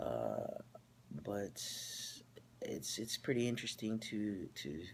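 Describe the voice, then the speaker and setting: Very slowly, a man talks with a fairly low pitch. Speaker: vlogger. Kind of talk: personal video update. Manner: halting, many fillers.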